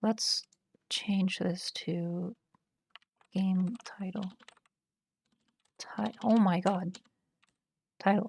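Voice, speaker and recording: Somewhat breathy, the voice moves at a very slow pace in a flat monotone, broken by long, frequent pauses. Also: woman, medium pitch for a woman. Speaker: programming streamer. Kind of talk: live coding stream, thinking aloud. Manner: hesitant, many fillers.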